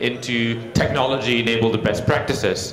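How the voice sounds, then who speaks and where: Audible room echo plus noticeable background noise behind a man talking. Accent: Singaporean. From Singapore. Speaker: technology consultant, conference speaker. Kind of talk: conference keynote talk. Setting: stage with audience, microphone. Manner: frequent filler words, some hesitation.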